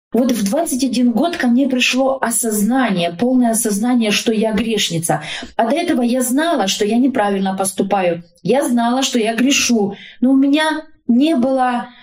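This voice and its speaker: Over noticeable background noise, a woman with a high pitch and lively intonation speaks at a fairly slow pace, her loudness very even throughout. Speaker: social worker and family counselor. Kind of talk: interview about faith and family.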